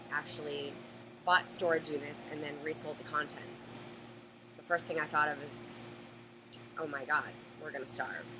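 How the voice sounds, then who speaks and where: A woman with a very deep, low voice speaks at a moderate pace with ordinary pitch variation, big swings in loudness and long, frequent pauses, over noticeable background noise. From Boston area, Massachusetts. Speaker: storage auction buyer. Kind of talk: live Q&A. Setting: live stream.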